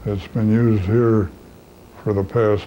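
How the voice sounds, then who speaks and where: The speech moves at a very slow pace over light background noise. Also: man. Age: 80s+. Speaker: physician. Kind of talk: interview. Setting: medical office. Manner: halting, many filler uhs. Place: studio.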